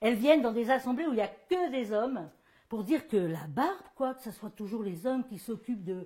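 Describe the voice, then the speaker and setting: Her fairly high voice swings very widely in pitch as the woman talks at a moderate pace. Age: 60s. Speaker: performer giving a gesticulated lecture. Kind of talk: stage monologue. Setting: stage with audience. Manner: animated.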